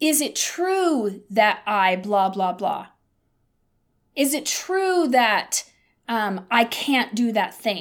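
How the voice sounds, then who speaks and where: Her tone is animated as this woman's voice makes very wide pitch swings. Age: 50s. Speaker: podcast host. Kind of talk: casual chat.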